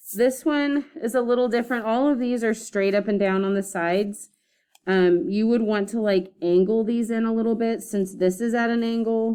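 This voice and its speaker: A woman's fairly high, dark and mellow voice at a moderate pace, with ordinary pitch variation. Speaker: art teacher. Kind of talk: classroom lesson demonstration. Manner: casual with many fillers.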